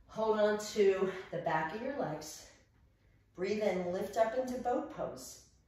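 A woman speaks at a very slow pace with lively intonation. Strong room echo surrounds her voice. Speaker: yoga and fitness instructor; fitness instructor. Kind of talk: guided workout class cueing breath-timed reps. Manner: rhythmic, counting breaths and reps in steady cadence; upbeat and encouraging, chatty asides. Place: home room. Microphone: camera far.

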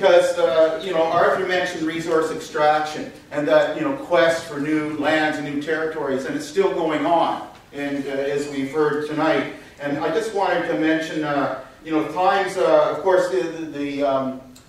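In a room with strong echo, a man speaks at a moderate pace with fairly even intonation. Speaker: speaker. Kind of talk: conference talk. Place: hall.

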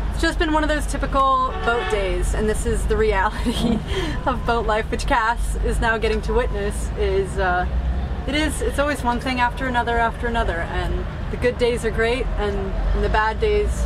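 Noticeable background noise sits behind the voice. A woman speaks at a moderate pace. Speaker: sailing vlogger. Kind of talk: casual vlog chat. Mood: amused, resigned frustration. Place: boat. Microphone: camera far.

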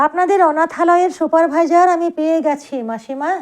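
A woman puts on a squeaky character voice at an extremely high pitch. She keeps a moderate pace and fairly even intonation. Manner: broken, halting.

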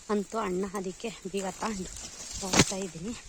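A woman speaks at a medium pitch while noticeable background noise carries on. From Karnataka, Bayalu Seeme region (Chitradurga). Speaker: village vlogger. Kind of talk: casual vlog narration. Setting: outdoors in village.

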